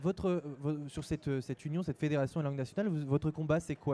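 Delivered at a very fast pace, the voice carries a dark, mellow tone and fairly even intonation. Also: man. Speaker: web TV presenter. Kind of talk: live event interview host. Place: hall. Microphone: handheld.

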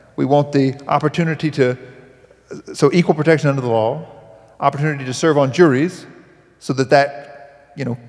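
Against a quiet background, a man with a Southern US accent talks at a moderate pace in a fairly high voice with fairly even intonation. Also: long, frequent pauses. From US South. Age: 30s. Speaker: speaker. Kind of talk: panel discussion. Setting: stage with audience. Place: stage. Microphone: handheld.

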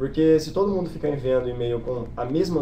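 A man talks at a very fast pace with a Brazilian accent. Noticeable background noise runs behind him. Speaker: exchange student. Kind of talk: informational webinar.

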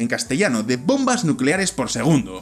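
In a Valladolid accent, a man talks with very wide pitch swings. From Spain, Valladolid; Spain. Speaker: science explainer video host. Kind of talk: scripted narration. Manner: animated. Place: home room. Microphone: studio mic.

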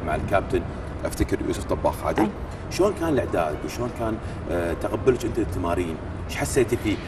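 A fairly quick pace of talk against noticeable background noise. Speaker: TV show host. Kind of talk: TV interview. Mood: calm, friendly. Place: gym. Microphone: lapel.

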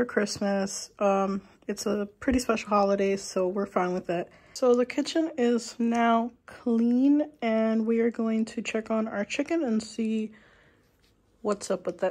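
A woman speaks at a fairly slow pace with ordinary pitch variation. Her voice is somewhat breathy. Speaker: vlogger. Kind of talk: casual vlog chat. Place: kitchen. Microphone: phone near.

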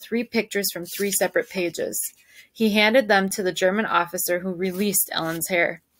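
Reading aloud in a natural voice

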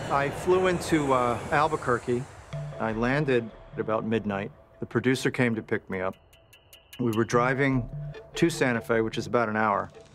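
A man at a moderate pace with ordinary pitch variation, long and frequent pauses, and faint music in the background. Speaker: actor recalling a film role. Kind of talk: interview answer. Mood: serious, reflective. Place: studio.

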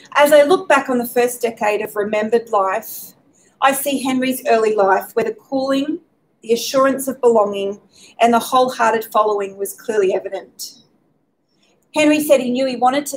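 A woman with an Australian accent talks at a high pitch and a moderate pace, her pitch varying in an ordinary way. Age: 40s. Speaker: speaker at faith talk event. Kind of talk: prepared talk. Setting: pub with live audience, streamed. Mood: gentle, reflective. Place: hall. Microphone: podium.

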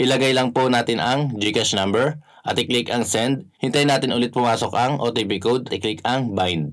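A man's speech moves at a moderate pace with ordinary pitch variation, and the background is quiet. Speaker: app tutorial host. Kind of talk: tutorial. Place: home room.

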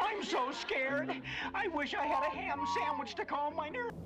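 A put-on character voice, high in pitch and at a moderate pace, over loud background noise. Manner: scared, whiny.

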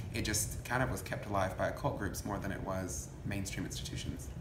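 Against noticeable background noise, the words come at a fairly quick pace. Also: man. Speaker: coven priest interviewee. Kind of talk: interview answer. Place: home room. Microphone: phone near.

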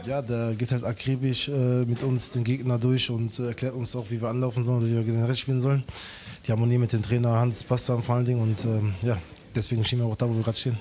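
With light background noise behind him, a man speaks at a very fast pace in a flat monotone. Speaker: team player interviewed; interviewee. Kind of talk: short pitchside interview; interview answer. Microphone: handheld.

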